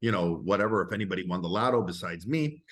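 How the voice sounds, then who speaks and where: Against a quiet background, a man uses lively intonation at a fairly low pitch. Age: 60s. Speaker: interview show host. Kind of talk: casual interview. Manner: animated.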